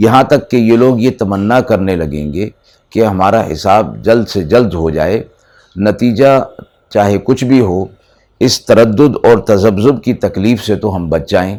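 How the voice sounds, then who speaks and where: Very clean recording, silent background, a man with a fairly low pitch. His dark, mellow tone has ordinary pitch variation. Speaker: Islamic scholar giving Quran lecture. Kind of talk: Quran exegesis lecture (tafseer) to an audience.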